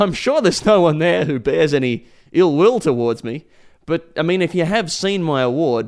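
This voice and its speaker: Recorded very cleanly against a silent background, a man with an Australian accent talks at a fairly high pitch. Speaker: podcast host. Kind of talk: podcast narration.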